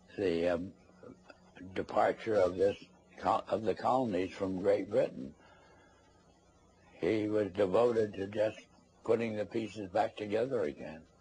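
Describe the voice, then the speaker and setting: With a dark, mellow tone and a somewhat breathy quality, a man speaks at a fairly low pitch with ordinary pitch variation, at a fairly slow pace with long, frequent pauses. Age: 80s+. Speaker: former congressional investigator. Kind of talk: interview. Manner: halting.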